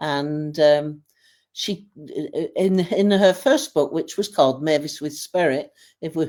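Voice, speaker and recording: A woman with a northern English accent speaks at a fairly slow pace in a dark, mellow tone with ordinary pitch variation, in a very clean recording over a silent background. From Lancashire, northern England. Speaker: widow of a medium, business helper. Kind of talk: interview podcast.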